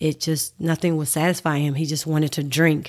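With a Southern US accent, a woman talks at a fairly quick pace in a very deep, low, monotone voice, recorded very cleanly against a silent background. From Mississippi. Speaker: mother of child with diabetes. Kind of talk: casual interview.

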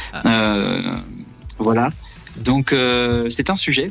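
With music in the background, a man talks very slowly at a medium pitch and ordinary pitch variation. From Brittany, France. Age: 30s. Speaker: astrophysics research assistant. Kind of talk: interview.

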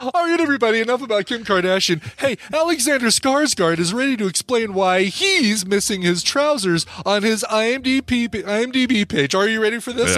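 Using a put-on character voice, a man with a high pitch speaks at a moderate pace. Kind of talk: broadcast TV. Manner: bubbly, gossipy.

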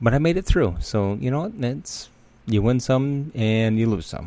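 The intonation is lively, captured in a very clean recording with a silent background. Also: man. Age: 30s. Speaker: recovery podcast host. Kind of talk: personal monologue. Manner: halting.

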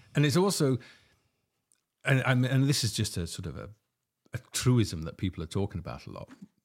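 A man at medium pitch, fairly quick yet broken by long, frequent pauses, with very wide pitch swings, big shifts in loudness and vocal fry. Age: 60s. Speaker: podcast host and documentary film maker. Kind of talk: casual chat.

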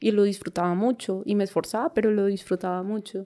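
On a very clean recording with a silent background, a woman speaks at a fairly quick pace with a dark, mellow tone. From Colombia, countryside near Ibagué, Tolima. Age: 20s. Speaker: parkour coach. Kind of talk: interview.

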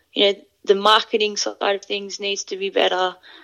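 A woman with an Australian accent. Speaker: rugby player. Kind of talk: interview. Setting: remote call.

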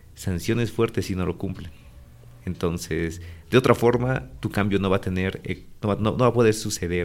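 Speaking at a moderate pace, a man with a very deep, low pitch uses ordinary pitch variation. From Bolivia, La Paz. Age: 20s. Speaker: logistics manager. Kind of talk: interview.

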